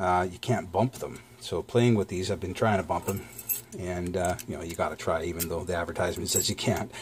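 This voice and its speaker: A man's very deep, low voice, somewhat breathy, at a fairly quick pace with fairly even intonation over light background noise. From Canada. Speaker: lock-picking YouTuber. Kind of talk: product review. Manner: casual, hesitant with fillers.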